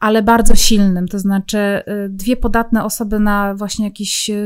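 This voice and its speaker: Pitched fairly high, a woman talks in a monotone, flat intonation. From Poland, Silesia (Zabrze). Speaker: true crime podcaster and author. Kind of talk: casual interview conversation.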